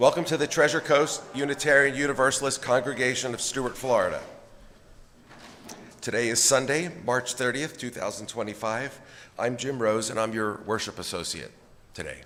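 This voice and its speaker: Putting on a character voice, a man speaks hoarsely at medium pitch and a moderate pace. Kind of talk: welcoming, formal announcement.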